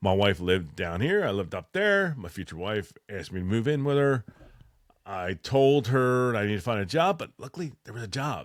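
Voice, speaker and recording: With a Philadelphia accent, a man uses a fairly low pitch, an animated tone and lively intonation, in a very clean recording with a silent background. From Philadelphia, US. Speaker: military veteran and electrician. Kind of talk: casual podcast monologue.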